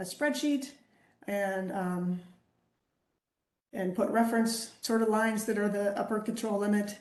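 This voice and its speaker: The speech moves at a fairly slow pace, with long, frequent pauses and ordinary pitch variation. Audible room echo surrounds the voice. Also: woman, fairly high pitch for a woman. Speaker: quality engineer presenting a webinar. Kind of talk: lecture. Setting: video call.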